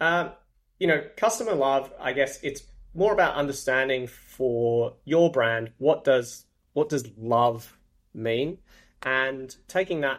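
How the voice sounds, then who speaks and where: This speaker has an Australian accent and a very slow pace. The intonation is lively. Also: man. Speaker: marketing executive. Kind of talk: interview.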